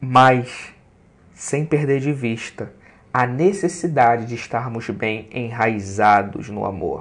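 Here a man speaks at a very slow pace, his medium pitch showing ordinary variation. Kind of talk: preacher-style sermon, devotional teaching with scripture and poetry. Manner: unhurried, earnest, preacher-like and didactic, explaining with emphasis.

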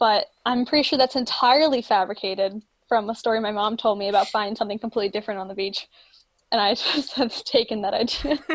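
Someone with an American accent speaks at a very fast pace with ordinary pitch variation. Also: woman, fairly high pitch for a woman. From Florida. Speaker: marine science student. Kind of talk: casual chat.

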